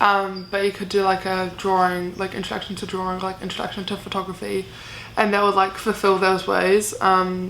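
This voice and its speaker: In a New Zealand accent, a woman speaks at medium pitch and a moderate pace. Her intonation is monotone and flat, and audible room echo surrounds her. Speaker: university student vlogger. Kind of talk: casual Q&A vlog. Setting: bedroom. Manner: casual, many fillers.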